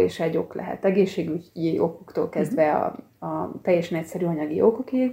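A woman speaks fairly quickly in a fairly low pitch with ordinary pitch variation. Her dark, mellow tone carries vocal fry. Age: 40s. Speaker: archivist and genealogist. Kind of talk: interview.

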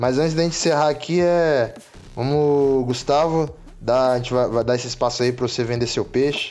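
This man has an unremarkable speaking voice, medium in pitch, with very even loudness, fairly even intonation and a moderate pace. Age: 20s. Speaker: film podcast host. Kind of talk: casual chat. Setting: recorded while playing an online game.

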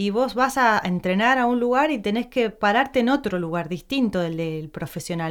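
A woman uses a normal speaking voice at medium pitch. Her intonation is lively, and the recording is very clean with a silent background. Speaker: podcast host, actress. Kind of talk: casual interview chat.

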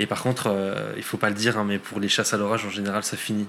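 Over noticeable background noise, a man speaks fairly quickly in a monotone, flat delivery at a fairly low pitch. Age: 30s. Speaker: climate scientist and storm chaser. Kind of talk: casual interview.

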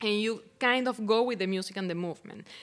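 At a moderate pace, a woman in a Venezuelan accent speaks with a fairly high pitch and ordinary pitch variation, in a very clean recording with a silent background. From Venezuela (Barquisimeto). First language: Spanish. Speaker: poet and artist. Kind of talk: casual interview conversation. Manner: hesitant, halting.

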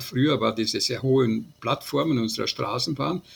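With vocal fry, the voice moves at a moderate pace with ordinary pitch variation. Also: man. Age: 80s+. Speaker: transport scientist, professor emeritus. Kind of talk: interview.

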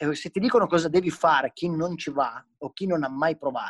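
A man's fairly high-pitched voice at a moderate pace, the sound dry and close with no echo. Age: 30s. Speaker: professional BMX freestyle rider. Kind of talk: casual interview chat.

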